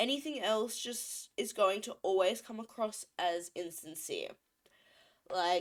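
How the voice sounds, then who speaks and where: A woman with a fairly high pitch and an ordinary speaking voice talks at a fairly slow pace, using ordinary pitch variation and big swings in loudness. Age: 30s. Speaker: streamer. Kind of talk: casual commentary livestream. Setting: livestream.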